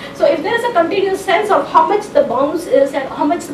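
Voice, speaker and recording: Amid noticeable background noise and audible room echo, a woman speaks with very wide pitch swings. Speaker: technology speaker and author. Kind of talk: conference talk.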